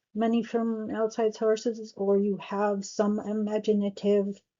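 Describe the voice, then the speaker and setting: A woman's mumbling at a medium pitch, very slow and monotone, with flat intonation. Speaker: astrologer. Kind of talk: tutorial. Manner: halting.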